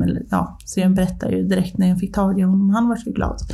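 Medium pitch from a woman, with audible room echo. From Ånge, Medelpad, northern Sweden. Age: 30s. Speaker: podcast guest, mother. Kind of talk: casual interview, personal story.

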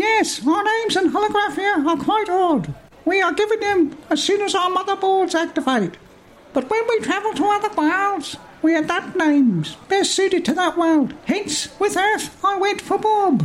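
A squeaky put-on character voice at an extremely high pitch, over clear background noise. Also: moderate pace. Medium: read story. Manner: formal, stiff.

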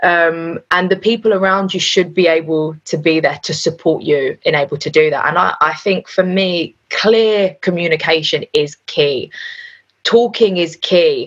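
A woman with a London accent speaks at a fairly slow pace. Her pitch is fairly low, with ordinary pitch variation. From North London. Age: 20s. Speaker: radio DJ. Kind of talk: casual chat.

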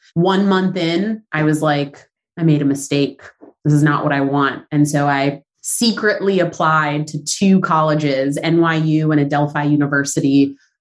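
A woman's very deep, low voice with a Southern Californian accent, ordinary pitch variation, and a moderate pace. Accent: Southern California American. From Southern California, San Fernando Valley. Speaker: business founder. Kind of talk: interview.

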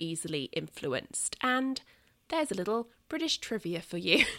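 A woman with a bright, sharp tone speaks at a moderate pace in a very clean recording, the background silent and the sound dry and close with no echo. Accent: southern English. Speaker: podcast host. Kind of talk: podcast monologue, book discussion.

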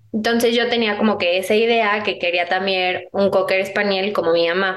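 A woman at medium pitch and a moderate pace, with noticeable background noise. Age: 20s. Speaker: entrepreneur. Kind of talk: interview conversation.

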